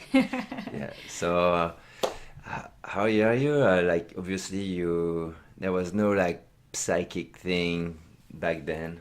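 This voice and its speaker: In a strong French accent, a man speaks very slowly with a very deep, low pitch. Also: ordinary pitch variation. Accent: thick French. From France, Reims area. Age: 30s. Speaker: host's husband. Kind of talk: casual chat. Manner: halting.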